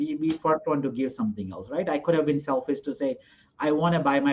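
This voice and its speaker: Speaking at a very fast pace, a man with a Gujarati accent talks at a fairly high pitch. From India (Gujarat). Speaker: hotel investor. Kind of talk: interview.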